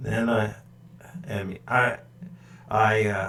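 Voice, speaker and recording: A man with an American accent, against noticeable background noise. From California, San Francisco Bay Area. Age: 60s. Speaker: woodworking YouTuber, retired ship engineer. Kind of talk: live stream chat. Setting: live stream at home computer. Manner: halting, many fillers and repeats.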